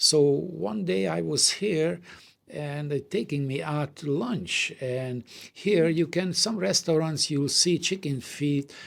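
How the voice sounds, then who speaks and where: Speaking with a slight Hungarian accent, a man uses a fairly high pitch and lively intonation at a very slow pace. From Hungary. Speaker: doll company co-owner. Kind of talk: anecdote in casual chat. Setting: office.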